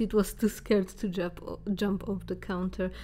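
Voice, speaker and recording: A woman with a non-native accent and a dark, mellow tone. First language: not English. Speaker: storytelling vlogger. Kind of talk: casual storytime. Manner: halting, many fillers.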